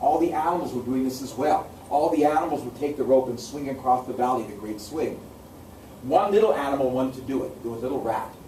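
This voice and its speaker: A man with an American accent at a very fast pace, medium in pitch with ordinary pitch variation, amid noticeable background noise and audible room echo. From US Pacific Northwest, Seattle. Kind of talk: oral storytelling. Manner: repetitive, rhythmic narration.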